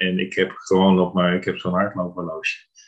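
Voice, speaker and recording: A man with a very deep, low voice talks at a moderate speed. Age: 50s. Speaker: therapy client. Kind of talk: interview.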